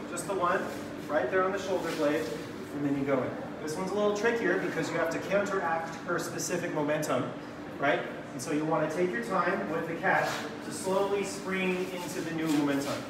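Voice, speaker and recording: With audible room echo and noticeable background noise, a man talks at a fairly quick pace with ordinary pitch variation. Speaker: dance workshop teacher. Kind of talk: tutorial. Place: hall. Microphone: camera far.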